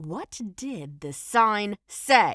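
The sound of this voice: In a put-on character voice, a woman speaks very slowly at medium pitch with big pitch swings and a fairly bright tone, the sound dry and close with no echo on a very clean recording with a silent background.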